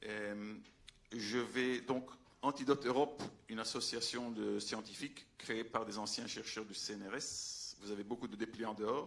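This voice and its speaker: With a Belgian accent, a man talks fairly slowly at a medium pitch, with vocal fry and fairly even intonation. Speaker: veterinarian and scientific adviser. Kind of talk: public talk. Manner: halting, many hesitations.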